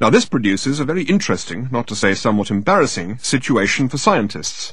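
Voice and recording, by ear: Someone is reading aloud in a natural voice.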